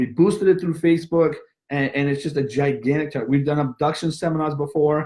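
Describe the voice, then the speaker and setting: The speaker is a man with a fairly high pitch. His voice sounds somewhat breathy. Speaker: martial arts school owner. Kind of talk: webinar presentation. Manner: fast.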